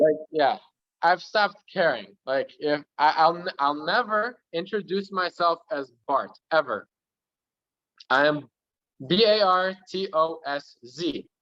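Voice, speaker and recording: A man's high, bright, sharp voice with an American accent at a very slow pace. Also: ordinary pitch variation. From US, Polish immigrant family. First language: Polish. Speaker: interviewee, student. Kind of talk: casual interview chat.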